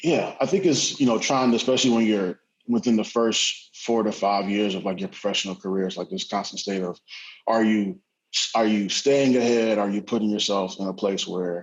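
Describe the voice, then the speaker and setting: Here a man speaks at a fairly quick pace in a plain, everyday voice, pitched fairly low with ordinary pitch variation. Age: 20s. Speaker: tech startup professional. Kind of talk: panel discussion.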